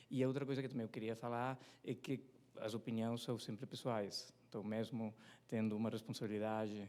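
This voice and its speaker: A man with a non-native accent and a dark, mellow tone talks at a medium pitch and a moderate pace. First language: not Portuguese (speaking Portuguese). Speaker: competition economist. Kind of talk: presentation at a seminar. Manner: hesitant, many fillers.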